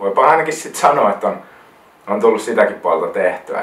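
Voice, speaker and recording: Over noticeable background noise, a man talks at a moderate pace with a South Karelian accent. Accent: South Karelian Finnish dialect. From South Karelia, Finland (near Lappeenranta). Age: 20s. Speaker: wedding photographer, vlogger. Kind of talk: casual vlog monologue. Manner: hesitant, repeats words.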